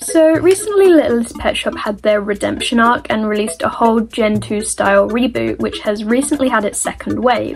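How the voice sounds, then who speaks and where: With music in the background, a woman with an American accent talks in a fairly high voice with lively intonation and hardly any pauses. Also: moderate pace. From Britain. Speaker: YouTube commentary creator. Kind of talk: casual online commentary.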